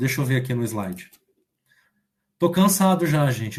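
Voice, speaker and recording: A somewhat breathy man talks at a fairly quick pace with a fairly high pitch. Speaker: online math teacher. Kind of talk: online lecture.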